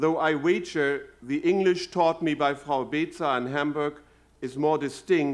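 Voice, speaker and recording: A fairly high-pitched man with a German accent at a fairly slow pace. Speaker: university president. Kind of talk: inaugural address. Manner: formal.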